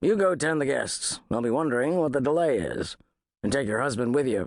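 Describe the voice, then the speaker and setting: Putting on a raspy, gruff character voice, a man speaks fairly quickly at a fairly high pitch with lively intonation. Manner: authoritative, firm.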